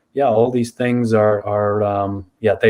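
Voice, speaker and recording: Against a quiet background, a man with an Irish accent talks at a moderate pace and a fairly low pitch. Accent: Irish brogue. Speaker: college tennis administrator. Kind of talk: podcast interview. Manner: hesitant, filler words.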